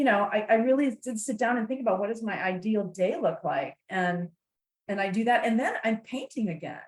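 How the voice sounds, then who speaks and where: A woman speaks fairly quickly in a fairly high voice. Her delivery is somewhat breathy. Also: lively intonation. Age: 60s. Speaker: author and networking speaker. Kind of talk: podcast interview. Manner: animated.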